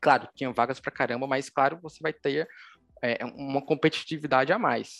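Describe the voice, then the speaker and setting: A man's fairly high-pitched voice at a moderate pace, with fairly even intonation. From Pernambuco, Brazil (Recife area). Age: 20s. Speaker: mobile developer. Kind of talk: interview. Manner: halting, many fillers.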